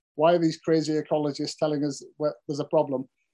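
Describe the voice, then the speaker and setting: A dark, mellow tone with a Cumbrian accent. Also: man. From Cumbria, northern England. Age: 40s. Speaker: farmer and author. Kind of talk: interview.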